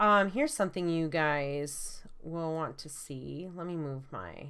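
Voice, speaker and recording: A woman speaks at a very slow pace with a strong Michigan accent. There is audible room echo. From US Midwest, Michigan. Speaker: college art instructor. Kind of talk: lecture. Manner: many fillers (um, uh).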